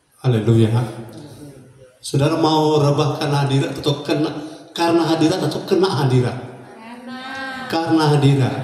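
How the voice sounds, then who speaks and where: A man with a fairly high pitch at a fairly quick pace, ordinary pitch variation, long and frequent pauses, audible room echo and noticeable background noise. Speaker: pastor. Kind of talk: sermon. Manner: calm, not shouting.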